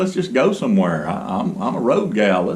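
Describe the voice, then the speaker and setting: Over noticeable background noise, a man with a Southern US accent talks at a fairly quick pace, his pitch swinging very widely. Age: 60s. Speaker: boat builder and video blogger. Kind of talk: casual vlog monologue. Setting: garage. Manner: halting, many fillers.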